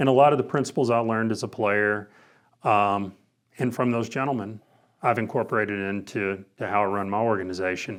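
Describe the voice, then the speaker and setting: An unremarkable speaking voice moves at a fairly quick pace with fairly even intonation. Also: man, fairly low pitch for a man. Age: 50s. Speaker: former college basketball player, sales manager. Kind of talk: interview.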